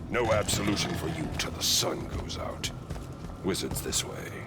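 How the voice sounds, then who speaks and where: Amid loud background noise, a man does a put-on character voice in a fairly low pitch. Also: moderate pace. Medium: short film. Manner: gruff, sardonic, blunt.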